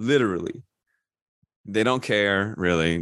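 A man with an American accent speaks at a fairly low pitch. His pitch variation is ordinary, and the background is quiet. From US, northern Virginia near DC. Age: 40s. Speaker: documentary director. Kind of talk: interview.

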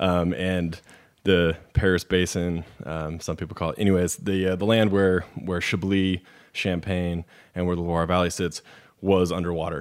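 On a very clean recording with a silent background, a man talks in a very deep, low voice with monotone, flat intonation. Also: moderate pace. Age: 30s. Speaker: wine shop manager. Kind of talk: casual chat.

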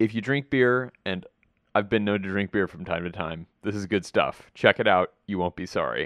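Over a quiet background, a man with a plain, everyday voice speaks at a moderate pace, fairly low in pitch with ordinary pitch variation, the sound dry and close with no echo. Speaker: podcast host. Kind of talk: podcast intro and outro.

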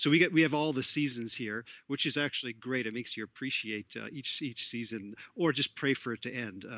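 A plain, everyday voice from a man, medium in pitch, fairly quick, with ordinary pitch variation. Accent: Canadian. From Canada, Toronto. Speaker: sports psychologist. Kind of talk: interview.

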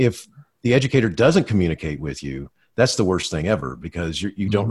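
A man's fairly low voice with vocal fry, very wide pitch swings and a very fast pace. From Florida. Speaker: school administrator. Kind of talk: interview.

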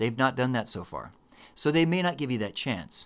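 With a Texan accent and an animated tone, a man speaks at a fairly quick pace and medium pitch, his intonation lively. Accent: Texan American. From Texas. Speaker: emergency medicine physician and educator. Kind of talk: casual chat.

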